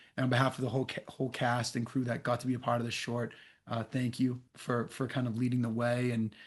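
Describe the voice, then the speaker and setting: The background is quiet. A man talks at a fairly quick pace in a medium pitch. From Boston area, US. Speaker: actor. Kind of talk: casual chat.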